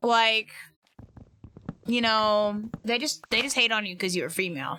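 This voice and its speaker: A woman speaks loudly at a moderate pace, her fairly high voice bright and sharp, energetic in tone, with ordinary pitch variation. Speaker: streamer. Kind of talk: casual gaming livestream chat. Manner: loud, energetic.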